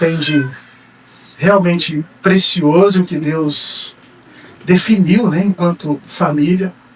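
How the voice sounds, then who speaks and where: A man with a Minas Gerais accent speaks at a high pitch, his pitch varying in an ordinary way over noticeable background noise. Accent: mineiro. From Brazil, Minas Gerais. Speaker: pastor and psychologist. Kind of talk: sermon. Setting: church. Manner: halting, many fillers.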